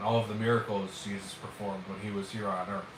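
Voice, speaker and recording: A man with fairly even intonation is heard amid noticeable background noise and audible room echo. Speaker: livestreamer. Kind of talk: casual livestream chat. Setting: livestream. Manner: halting, many fillers.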